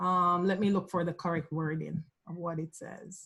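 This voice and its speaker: A woman with a Jamaican accent. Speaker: graduate student. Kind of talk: question in online class. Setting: video call. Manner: hesitant, many fillers.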